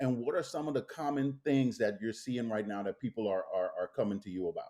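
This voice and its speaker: A man talks at a fairly quick pace with a slight Caribbean accent. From Bahamas. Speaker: podcast host. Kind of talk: interview.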